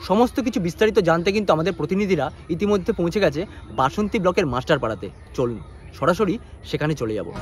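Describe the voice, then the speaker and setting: Music plays in the background as a man speaks in a high pitch. His pitch swings very widely. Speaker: news presenter. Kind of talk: news bulletin introduction.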